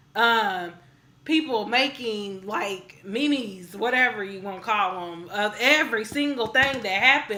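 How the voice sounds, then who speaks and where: With audible room echo, a woman speaks fairly slowly at a fairly high pitch in a bright, sharp, animated tone, with ordinary pitch variation. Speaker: music video reviewer. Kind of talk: casual review vlog.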